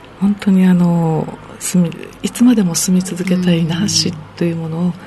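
A woman at a medium pitch talks at a moderate pace with fairly even intonation and long, frequent pauses, over noticeable background noise. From Okinawa (Naha). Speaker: city council member. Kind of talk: radio interview.

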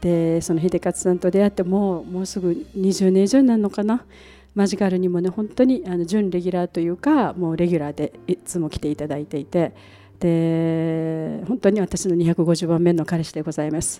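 The woman's fairly low voice has a dark, mellow tone, moving at a moderate pace with ordinary pitch variation. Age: 60s. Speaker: radio show host. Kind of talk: casual radio talk. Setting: public recording with audience.

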